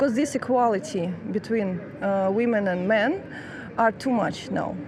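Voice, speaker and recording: With a Russian accent, a woman talks at a moderate pace in a fairly high pitch with ordinary pitch variation, and there is noticeable background noise. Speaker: master's student in international law. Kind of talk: street interview. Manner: halting, many fillers.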